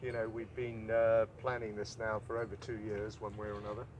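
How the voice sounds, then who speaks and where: A man talks at a medium pitch. There is a somewhat breathy quality to his voice. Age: 60s. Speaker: ocean rowing adventurer. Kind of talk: live interview. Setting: outdoors by the boat.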